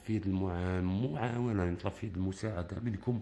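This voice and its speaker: Speaking at a fairly quick pace with an Algerian accent, a man has a very deep, low pitch, a dark, mellow tone and fairly even intonation. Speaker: bird keeper asking for help. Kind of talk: appeal for help. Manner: soft-spoken; halting.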